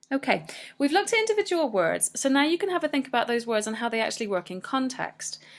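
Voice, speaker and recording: A woman speaks with a British accent in a very clean recording with a silent background. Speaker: English language teacher. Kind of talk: educational screencast tutorial. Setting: screencast recording.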